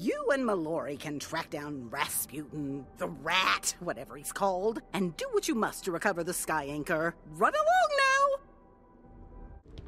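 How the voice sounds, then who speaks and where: A female-sounding voice puts on a character voice, fairly low in pitch and at a moderate pace. Clear music plays in the background. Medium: machinima. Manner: curt, commanding.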